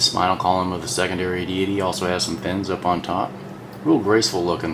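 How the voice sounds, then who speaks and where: A quiet man with a very deep, low pitch at a fairly quick pace, amid audible room echo and noticeable background noise. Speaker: toy collector reviewer. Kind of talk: product review. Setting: at home. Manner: kept low and quiet; subdued, less excited than he feels.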